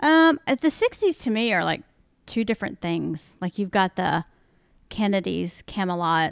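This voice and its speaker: At a moderate pace, the speaker's voice swings very widely in pitch, dry and close with no echo in a very clean recording with a silent background. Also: woman, medium pitch for a woman. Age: 50s. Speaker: podcast guest. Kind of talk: casual chat.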